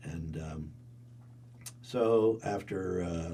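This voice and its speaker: A man with a central Pennsylvania accent and a very deep, low pitch speaks in a dark, mellow, somewhat breathy tone with lively intonation and audible room echo. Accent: central Pennsylvania American. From central Pennsylvania, Cumberland County. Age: 80s+. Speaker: resort and theatre owner. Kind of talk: oral history interview. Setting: recording studio. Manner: halting, with many repetitions and fillers.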